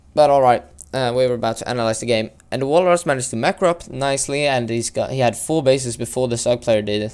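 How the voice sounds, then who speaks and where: A man's medium-pitched voice at a very fast pace, with ordinary pitch variation and hardly any pauses. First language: not English. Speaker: video game caster. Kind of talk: live game commentary. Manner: halting, many fillers.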